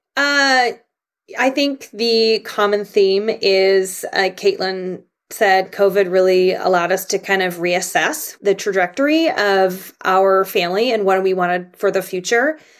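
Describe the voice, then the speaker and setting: Here is a woman with an American accent and an ordinary speaking voice. She talks at a fairly slow pace with a medium pitch, ordinary pitch variation and very even loudness. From Canada, then US from seventh grade. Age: 40s. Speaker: trainer and nutrition practitioner. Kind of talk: casual chat.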